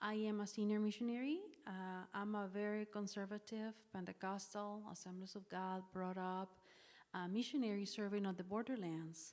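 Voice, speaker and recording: Someone with a Spanish accent talks at a moderate pace with fairly even intonation. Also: woman, medium pitch for a woman. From northern Mexico. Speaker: missionary. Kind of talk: public talk.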